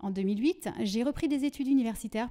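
Against a quiet background, a woman talks at a fairly quick pace in a dark, mellow tone. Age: 40s. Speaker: trainer and consultant; trainer. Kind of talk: prepared self-presentation. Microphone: handheld.

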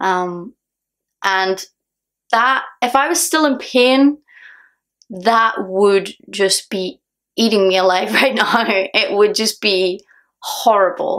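A woman's fairly high voice in a Northern Irish accent, very slow with long, frequent pauses, lively intonation, and a quiet background. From Northern Ireland. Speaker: singer. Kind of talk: casual talk to camera. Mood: calm, reflective, a bit earnest. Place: home room. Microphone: phone near.

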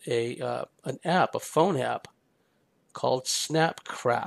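An ordinary speaking voice with an American accent, dry and close with no echo. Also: man. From San Francisco Bay Area, US. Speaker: podcast host, spiritual commentator. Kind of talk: solo monologue commentary.

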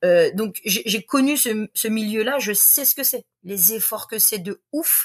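The speech moves at a very slow pace with hardly any pauses. The background is quiet. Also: woman, fairly high pitch for a woman, ordinary pitch variation. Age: 40s. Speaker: sports coach. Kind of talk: casual chat. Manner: animated. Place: home room.

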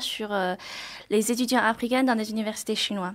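Here a woman talks. The rise and fall of her pitch is ordinary. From China. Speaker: PhD student. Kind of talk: radio interview. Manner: hesitant, halting. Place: studio. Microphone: studio mic.

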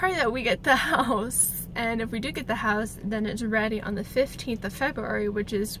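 The woman talks fairly slowly. Background noise is noticeable throughout. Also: dry sound with no echo. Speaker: vlogger. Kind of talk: casual vlog chat. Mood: hopeful, thinking aloud. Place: car. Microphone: phone near.

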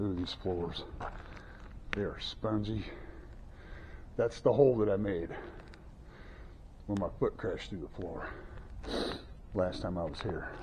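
Over noticeable background noise, a man talks fairly slowly with long, frequent pauses. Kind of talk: casual vlog commentary. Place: church. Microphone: phone near.

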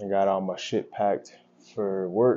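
Over light background noise, a man with a fairly low pitch talks at a moderate pace. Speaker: vlogger. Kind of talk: casual vlog chat. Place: kitchen. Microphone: lapel.

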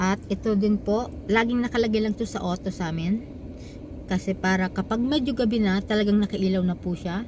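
A woman talks at a fairly quick pace with fairly even intonation. Noticeable background noise runs under her voice. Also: medium pitch for a woman. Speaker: vlogger. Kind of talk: tutorial. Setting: in a car. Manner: slightly slurred speech.

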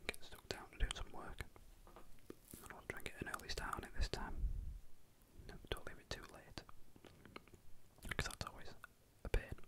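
Whispering and soft-spoken, a man talks with long, frequent pauses. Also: moderate pace. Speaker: radio hobbyist vlogger. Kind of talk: casual vlog chat. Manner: close soft whisper into microphone. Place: home room. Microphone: camera far.

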